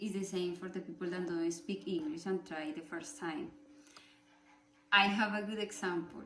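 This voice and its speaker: This woman talks with a Spanish accent at a moderate pace, her pitch medium for a woman with ordinary variation. Her tone is bright and sharp, with long, frequent pauses and audible room echo. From Colombia. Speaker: student. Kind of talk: class presentation speech. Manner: halting.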